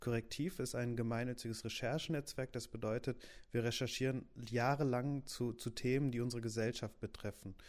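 Fairly even intonation in an ordinary speaking voice, delivered at a fairly quick pace. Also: man, medium pitch for a man. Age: 20s. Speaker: youth newsroom editor. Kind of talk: casual podcast introduction. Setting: home office.

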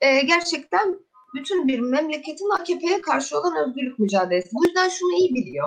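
A woman speaks with a high pitch. Her voice moves in very wide pitch swings. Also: moderate pace. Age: 20s. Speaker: student activist. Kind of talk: radio interview.

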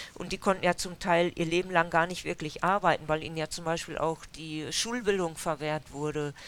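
A woman's fairly low-pitched, a plain, everyday voice, at a moderate pace with fairly even intonation. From Germany, Westphalia (Dülmen). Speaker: historian researcher, author. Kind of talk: interview at a book event. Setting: bookshop with audience.

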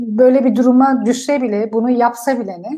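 In a quiet background, a woman speaks with a high pitch. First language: Kurdish and German (speaking Turkish). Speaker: politician. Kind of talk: interview. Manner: hesitant, many filler sounds.

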